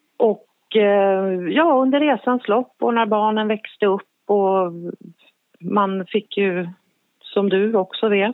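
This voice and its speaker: Very slow in pace and very even in loudness, a woman speaks at a medium pitch with ordinary pitch variation. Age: 50s. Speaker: forensic psychiatric assistant nurse. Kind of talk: interview. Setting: phone call.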